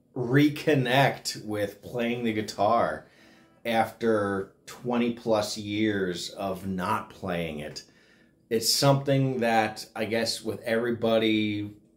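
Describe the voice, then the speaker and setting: A man talks at a very slow pace. Music plays behind him. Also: ordinary pitch variation. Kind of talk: casual vlog chat. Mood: grateful, sentimental. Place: home room. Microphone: phone near.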